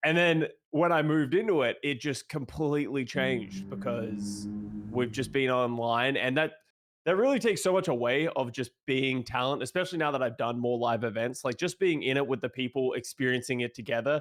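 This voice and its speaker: A man speaks with an Australian accent. Music plays in the background. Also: medium pitch for a man, ordinary pitch variation. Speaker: esports analyst, retired pro player. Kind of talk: casual chat.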